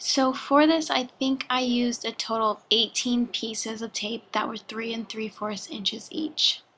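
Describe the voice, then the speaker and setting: Over noticeable background noise, a woman with a fairly high pitch talks at a moderate pace with ordinary pitch variation and hardly any pauses. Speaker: craft tutorial maker. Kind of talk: tutorial.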